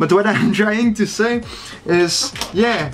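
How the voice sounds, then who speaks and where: Amid noticeable background noise, a high-pitched man with a non-native accent speaks at a very slow pace with ordinary pitch variation. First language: not English. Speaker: fingerboarder. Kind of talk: casual talk to camera.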